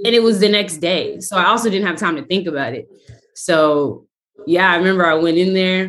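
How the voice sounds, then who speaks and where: A woman speaks in a plain, everyday voice at a medium pitch. Her pace is fairly quick, with ordinary pitch variation. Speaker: actress. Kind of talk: casual chat.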